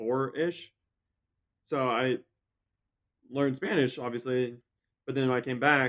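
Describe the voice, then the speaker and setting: At a moderate pace, a man speaks at medium pitch. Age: 20s. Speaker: professional triathlete. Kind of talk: casual interview chat.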